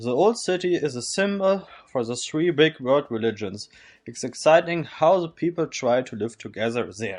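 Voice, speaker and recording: A man speaks at a fairly high pitch with very wide pitch swings. His loudness swings widely too. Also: moderate pace. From northern Germany, Kiel. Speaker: volunteer. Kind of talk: scripted narration.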